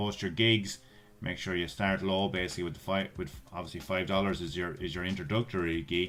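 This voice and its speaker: A man's very deep, low voice with an Irish accent, ordinary pitch variation and a fairly quick pace. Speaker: YouTuber giving online money-making tips. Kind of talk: screen-share tutorial. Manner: casual, with frequent fillers and repetitions.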